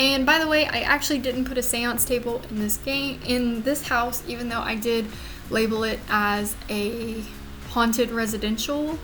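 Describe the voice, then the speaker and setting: A high-pitched woman with a Louisiana accent, fairly even intonation and a moderate pace, plus audible room echo and noticeable background noise. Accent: Southern US (Louisiana). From US South, Louisiana. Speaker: gaming YouTuber. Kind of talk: voiceover commentary on a speed build. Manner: casual, with fillers.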